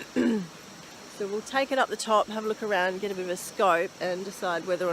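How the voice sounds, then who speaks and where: A woman with a strong Australian accent speaks at a moderate pace and a medium pitch with ordinary pitch variation, over noticeable background noise. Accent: Australian accent, stronger than usual. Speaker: bushwalking vlogger. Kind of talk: casual talk to camera. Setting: outdoors. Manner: enthusiastic.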